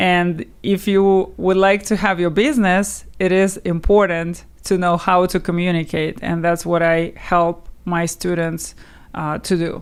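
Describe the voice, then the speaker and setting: In a Russian accent, a woman speaks fairly slowly with a fairly low pitch and monotone, flat intonation, on a very clean recording with a silent background. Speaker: language teacher. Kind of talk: interview.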